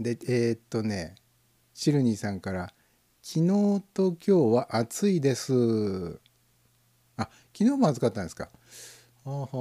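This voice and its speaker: A man speaks at a fairly slow pace in a dark, mellow tone, with very wide pitch swings and big swings in loudness. Long, frequent pauses break up his speech, and the sound is dry and close, with no echo. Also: medium pitch for a man. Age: 50s. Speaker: internet radio host. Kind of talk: casual solo live stream chat with listener comments. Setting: live online audio stream.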